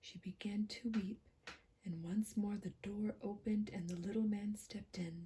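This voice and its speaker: A soft-spoken woman whispers at a moderate pace, her voice somewhat breathy. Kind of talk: gentle whispered ASMR fairy tale story reading. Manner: whispered, gentle, soft.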